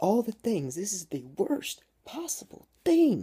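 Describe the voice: Slow-ish and put-on, this character voice has a dark, mellow tone with a husky, rough edge, very wide pitch swings and a fairly slow pace. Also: man, high pitch for a man.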